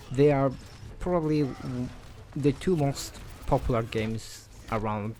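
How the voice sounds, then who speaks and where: This man speaks with a non-native accent and ordinary pitch variation. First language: non-native English speaker. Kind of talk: casual unscripted game commentary. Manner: hesitant, many fillers.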